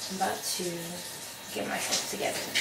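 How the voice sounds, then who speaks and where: A woman speaks over music in the background. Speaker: vlogger. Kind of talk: casual vlog chat. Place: home room. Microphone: camera far.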